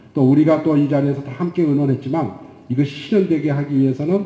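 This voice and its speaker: A man with ordinary pitch variation, with audible room echo around his voice. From South Korea. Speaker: professor and session moderator; professor, session moderator. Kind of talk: panel moderation. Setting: conference stage with audience. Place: hall. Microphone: handheld.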